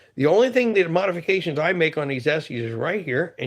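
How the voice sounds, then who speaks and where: A man talks at a fairly quick pace with lively intonation in a plain, everyday voice. The background is quiet. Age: 50s. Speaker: outdoors knife reviewer. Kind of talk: casual video talk. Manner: relaxed, conversational.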